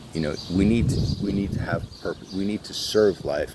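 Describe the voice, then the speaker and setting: Amid noticeable background noise, a man speaks in a very deep, low voice with ordinary pitch variation. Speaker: motivational vlogger. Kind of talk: motivational monologue. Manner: fast; halting, many fillers.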